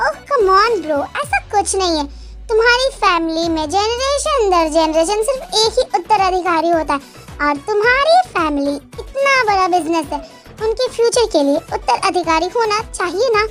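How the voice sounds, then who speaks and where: A woman speaks at a moderate pace in a put-on character voice, with clear music in the background. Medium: read story.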